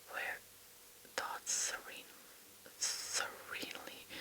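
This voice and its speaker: Whispering very slowly in a playful tone, the speaker is heard over noticeable background noise. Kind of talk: poetry reading. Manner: whispered, playful, flubbing words and laughing at herself.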